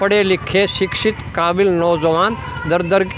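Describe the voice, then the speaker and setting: Noticeable background noise surrounds this man. His voice is high-pitched for a man. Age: 70s. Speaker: community activist. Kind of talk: interview.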